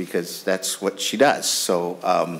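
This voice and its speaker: The man's pace is moderate. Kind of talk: chairing a hearing, opening remarks. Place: hall. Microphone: podium.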